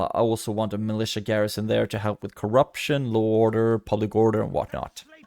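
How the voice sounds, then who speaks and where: A man with a fairly low voice talks very fast, barely stopping. His intonation stays flat and monotone. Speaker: gaming youtuber. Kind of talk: gameplay commentary.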